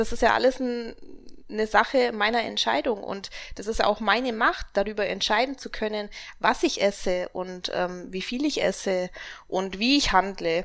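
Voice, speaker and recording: In a very clean recording with a silent background, a woman with a fairly high voice speaks at a moderate pace. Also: ordinary pitch variation. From Augsburg, Bavaria. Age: 20s. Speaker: bikini fitness athlete and coach. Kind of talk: casual interview.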